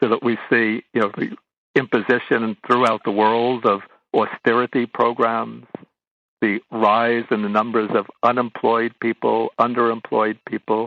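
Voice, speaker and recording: A man with an American accent at a medium pitch, monotone and flat in intonation, fairly slow in pace, with very even loudness. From US Northeast, Brooklyn, New York. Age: 70s. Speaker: Buddhist monk. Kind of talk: interview. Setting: radio interview.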